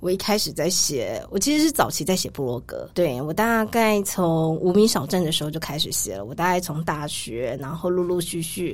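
Speaking at a moderate pace with hardly any pauses, a woman with a fairly low pitch uses lively intonation over noticeable background noise. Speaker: travel writer. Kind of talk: casual interview chat.

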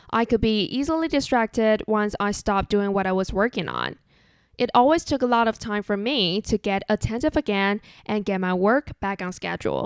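On a very clean recording with a silent background, a woman speaks with a Chinese accent in a fairly high pitch with ordinary pitch variation. Her moderate pace comes through in a dry, close sound with no echo. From Taiwan. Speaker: podcast host. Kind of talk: solo podcast monologue.

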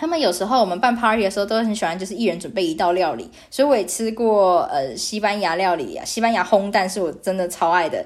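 A woman talks very fast at medium pitch, with lively intonation and hardly any pauses. Her recording is very clean, the background silent. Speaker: podcast host. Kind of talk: casual monologue. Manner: hesitant, many fillers.

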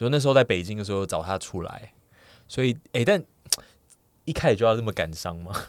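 This man's pitch varies in an ordinary way over a very clean recording with a silent background. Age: 30s. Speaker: podcast guest. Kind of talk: casual chat.

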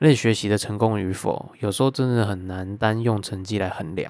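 With a Taiwanese accent, a man speaks at a fairly low pitch and a moderate pace. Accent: Taiwanese Mandarin. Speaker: YouTuber. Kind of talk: casual Q&A podcast monologue. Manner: slurred, words run together.

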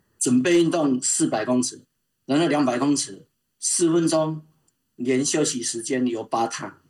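A man with an unremarkable speaking voice talks at a fairly slow pace, his fairly high pitch showing ordinary variation. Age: 60s. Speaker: open-water swimmer and swimming coach. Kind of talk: casual interview. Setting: remote call.

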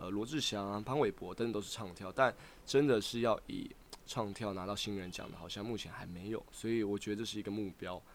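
A man talks at a fairly quick pace and a fairly low pitch. He has an ordinary speaking voice with fairly even intonation. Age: 20s. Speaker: aspiring singer-dancer and rapper. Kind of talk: casual interview chat.

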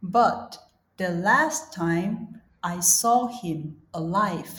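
A woman with a Chinese accent speaks very slowly in a fairly low voice. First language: Mandarin Chinese. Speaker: podcast host and English teacher. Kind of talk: reading aloud; casual chat.

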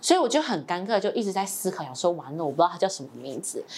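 Someone speaks very fast in a Taiwanese accent, with very wide swings in pitch. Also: woman. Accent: Taiwanese Mandarin. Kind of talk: casual chat.

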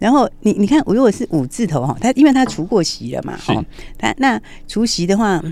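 A woman with a dark, mellow tone and vocal fry talks fairly quickly at a medium pitch, her voice making very wide pitch swings. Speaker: stock market analyst. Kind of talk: radio stock market commentary. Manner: animated.

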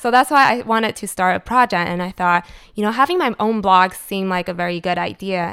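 A bright, sharp voice with a Taiwanese-American accent and ordinary pitch variation at a fairly quick pace, dry and close with no echo on a very clean recording with a silent background. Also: woman, medium pitch for a woman. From Taiwan and California (Cupertino). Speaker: food blogger and marketing strategist. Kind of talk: interview.

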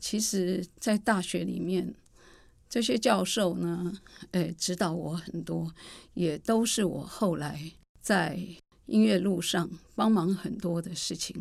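A woman with a fairly low pitch and vocal fry talks very slowly, with long, frequent pauses and ordinary pitch variation. The recording is very clean, with a silent background. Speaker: choir artistic director and music teacher. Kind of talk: interview storytelling. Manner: talkative, long-winded.

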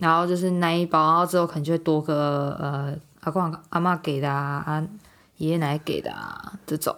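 At a moderate pace, a woman speaks in a very deep, low pitch with monotone, flat intonation. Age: 20s. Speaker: podcast co-host. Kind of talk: casual chat.

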